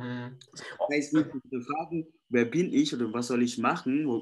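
With a non-native accent, a man talks at a medium pitch and a moderate pace. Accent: foreign accent in German. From Indonesia. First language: Indonesian (speaking German). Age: young. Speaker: life coach. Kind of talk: interview.

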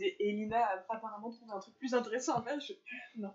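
Fairly quick and somewhat breathy, a woman's voice sits at a fairly high pitch. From rural France. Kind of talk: casual chat.

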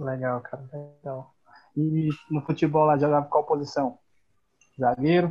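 A man with a fairly high pitch speaks at a moderate pace in a somewhat breathy voice, his intonation fairly even. His loudness swings widely, and he takes long, frequent pauses. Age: 20s. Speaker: podcast co-host and personal trainer. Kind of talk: casual chat.

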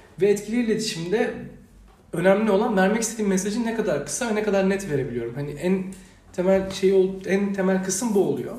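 Speech comes at a very fast pace with ordinary pitch variation, amid noticeable background noise and audible room echo. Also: man. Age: 20s. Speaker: university student and youth organisation director. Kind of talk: podcast interview. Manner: hesitant, many fillers.

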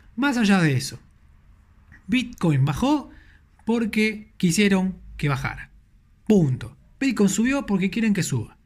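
This man talks at a fairly slow pace with a high-pitched voice. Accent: Rioplatense. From Argentina, Buenos Aires. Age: 30s. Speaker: podcast host, crypto content creator. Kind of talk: casual solo podcast talk.

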